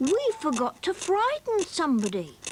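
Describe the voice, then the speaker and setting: A put-on character voice pitched extremely high. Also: moderate pace. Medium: read story.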